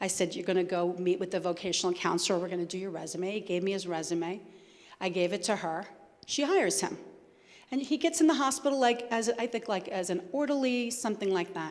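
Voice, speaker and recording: Lively intonation and a very fast pace mark this speech in an American accent. Audible room echo is present. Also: woman, medium pitch for a woman. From New Jersey. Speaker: homeless services administrator. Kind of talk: Q&A after a talk. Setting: church event with audience.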